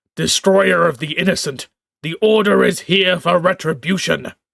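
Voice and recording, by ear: A man's put-on character voice, high-pitched and resonant, at a moderate pace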